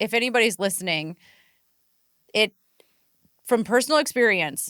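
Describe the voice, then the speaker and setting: A woman talks loudly at a moderate pace, her fairly high voice bright and sharp, animated, with lively intonation and a dry, close sound with no echo. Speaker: podcast host. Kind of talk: casual chat.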